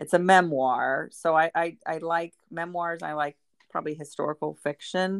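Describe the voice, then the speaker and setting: Moderate-paced speech from a woman with a fairly low pitch and fairly even intonation, dry and close with no echo. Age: 50s. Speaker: mother of a reality TV star. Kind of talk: casual interview. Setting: remote call.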